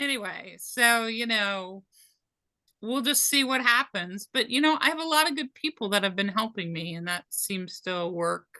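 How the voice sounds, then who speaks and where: A woman's fairly high, bright, sharp voice at a moderate pace over a quiet background. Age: 60s. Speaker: job seeker. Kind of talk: casual chat.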